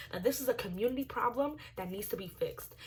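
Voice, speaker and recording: A slightly breathy woman's voice, animated in tone, at a fairly brisk pace. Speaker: YouTube commentary vlogger. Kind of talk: casual opinion commentary. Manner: stuttering, repetitive.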